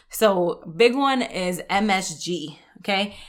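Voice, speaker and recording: A woman with a New York accent and an animated tone, medium in pitch with ordinary pitch variation. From New York, the Bronx; Puerto Rican family. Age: 30s. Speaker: health podcast host. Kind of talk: solo podcast monologue. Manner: casual, animated.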